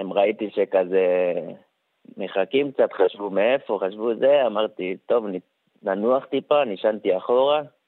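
A man with a plain, everyday voice talks at a fairly slow pace in a medium pitch. His loudness stays very even, and his pitch varies in an ordinary way. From Samaria, West Bank. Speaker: wounded soldier. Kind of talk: testimony.

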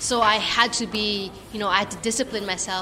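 The speaker talks in a flat monotone. Noticeable noise sits in the background. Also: woman. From Philippines. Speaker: racing driver. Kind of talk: casual interview.

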